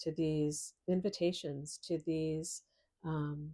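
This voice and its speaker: A woman with a very deep, low pitch and a dark, mellow tone speaks very slowly in a monotone, flat intonation on a very clean recording with a silent background. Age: 60s. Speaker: astrologer. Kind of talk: personal testimony. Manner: halting, many fillers.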